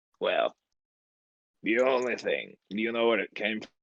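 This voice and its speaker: A man puts on a raspy character voice of medium pitch and speaks at a moderate pace. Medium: actual play. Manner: gruff, brisk.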